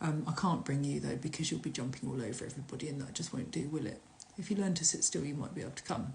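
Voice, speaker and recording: In a southern English accent, a woman talks at a very fast pace with a very deep, low pitch, vocal fry and lively intonation, with audible room echo around her. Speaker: shaman and workshop leader. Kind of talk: casual live stream. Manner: halting, with filler words.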